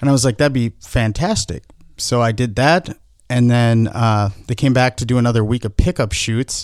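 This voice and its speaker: This man has an unremarkable speaking voice, medium in pitch with ordinary pitch variation, heard at a moderate pace on a very clean recording with a silent background. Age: 30s. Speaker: filmmaker. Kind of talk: casual chat.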